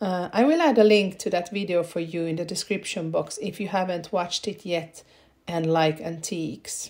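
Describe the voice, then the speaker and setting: A woman speaks in a Swedish accent at a fairly low pitch. Her pace is moderate and her pitch variation ordinary. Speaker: home renovation vlogger. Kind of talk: vlog narration. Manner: casual with filler hesitations.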